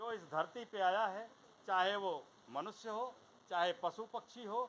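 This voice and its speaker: A man's voice with ordinary pitch variation. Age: 70s. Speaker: retired railway worker, speaker at memorial meeting. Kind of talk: speech at condolence meeting.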